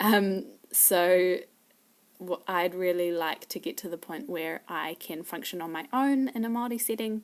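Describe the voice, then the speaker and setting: On a very clean recording with a silent background, a woman with a New Zealand accent talks at a fairly slow pace. Her pitch is medium, with ordinary variation. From New Zealand, Wellington. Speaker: language learner. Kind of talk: casual self-introduction video. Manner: hesitant, many fillers.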